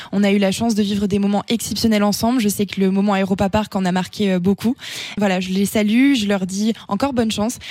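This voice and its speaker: At a fairly quick pace, a woman with a normal speaking voice talks at medium pitch, her intonation fairly even and her loudness very even. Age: 20s. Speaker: beauty pageant winner and business student. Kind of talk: radio interview.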